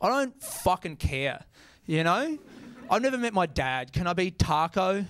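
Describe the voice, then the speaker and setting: In an Australian accent, a man speaks at a moderate pace. His pitch is high and swings very widely. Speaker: stand-up comedian. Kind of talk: stand-up comedy set. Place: stage. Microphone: handheld.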